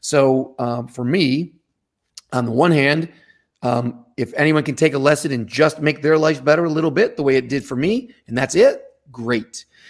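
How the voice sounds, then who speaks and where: A man speaks in an unremarkable speaking voice at a moderate pace. His pitch is fairly high, with ordinary pitch variation. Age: 50s. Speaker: martial arts instructor. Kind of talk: casual chat.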